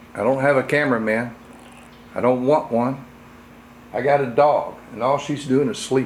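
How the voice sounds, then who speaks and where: Audible room echo surrounds a man at medium pitch who leaves long, frequent pauses. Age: 60s. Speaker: firearms hobbyist reviewer. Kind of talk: tutorial. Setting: home workshop. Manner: casual, halting.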